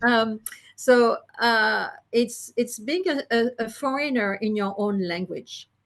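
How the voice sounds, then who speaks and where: A quiet background behind a woman with a French accent, a fairly high voice and a very slow pace. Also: ordinary pitch variation. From France. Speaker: psychologist and listening therapy practitioner. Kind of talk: interview. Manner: halting, with many fillers.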